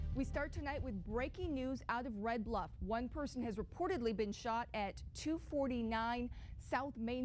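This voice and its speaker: A woman speaks with music in the background. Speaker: TV news anchor and reporter. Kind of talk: TV news anchor read. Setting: studio.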